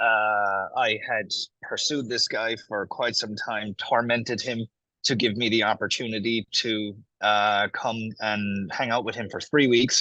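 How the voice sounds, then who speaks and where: Against a quiet background, a man with an Irish accent speaks fairly slowly at a medium pitch in monotone, flat intonation. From Ireland, small town. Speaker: affiliate marketer. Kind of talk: interview. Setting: video call from a cafe.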